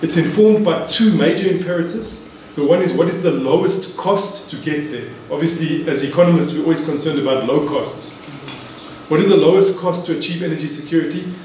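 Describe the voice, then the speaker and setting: A man's high-pitched voice at a fairly quick pace, fairly even intonation, audible room echo and light background noise. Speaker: economics lecturer. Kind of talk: lecture. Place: hall.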